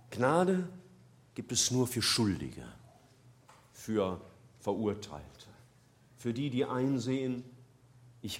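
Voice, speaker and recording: A man's medium-pitched voice with very wide pitch swings, a very slow pace, and long, frequent pauses. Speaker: preacher. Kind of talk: sermon. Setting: church. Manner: earnest, warm and persuasive, building from plain explanation to a quiet, pleading prayer.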